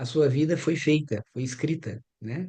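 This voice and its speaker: His tone is dark and mellow, with lively intonation. The man keeps a fairly slow pace. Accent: Brazilian. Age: 60s. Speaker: anthroposophic doctor and biographical counselor. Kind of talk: group workshop discussion.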